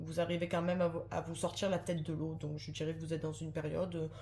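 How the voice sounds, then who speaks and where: Audible room echo surrounds a woman speaking. Her fairly low voice carries vocal fry. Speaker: tarot card reader. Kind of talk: tarot reading to camera. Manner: fast; hesitant, many fillers.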